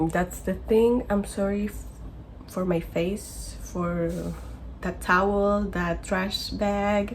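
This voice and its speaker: A woman with a non-native accent speaks at a very slow pace. The room echo is audible, and there is noticeable background noise. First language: not English. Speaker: vlogger living abroad. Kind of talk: personal vlog. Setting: bedroom in basement. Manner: halting, self-correcting.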